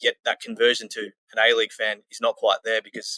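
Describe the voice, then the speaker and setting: Recorded in a dry, close sound with no echo, a man speaks with an Australian accent. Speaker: football club community manager. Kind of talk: podcast interview.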